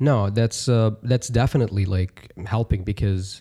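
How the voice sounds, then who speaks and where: A man speaks with a fairly low pitch and a dark, mellow tone. His intonation stays fairly even and his voice is somewhat breathy. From Dubai. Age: 20s. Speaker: podcast studio operator. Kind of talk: casual chat.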